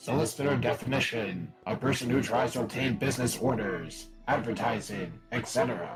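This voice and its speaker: With clear music in the background, a man does a put-on character voice at medium pitch and a moderate pace, with hardly any pauses. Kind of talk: robot voice. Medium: virtual streamer. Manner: deadpan, clipped machine phrasing.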